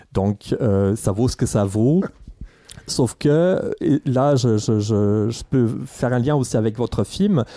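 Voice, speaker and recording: Very slowly and at very even loudness, a man speaks in a medium pitch with a dark, mellow tone and ordinary pitch variation. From Germany. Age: 40s. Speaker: history professor. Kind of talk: casual chat. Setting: library room.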